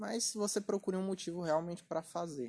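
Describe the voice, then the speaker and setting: A man talks at a fairly quick pace in a high pitch. His tone is dark and mellow, with ordinary pitch variation. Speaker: podcast host and writer. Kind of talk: casual chat.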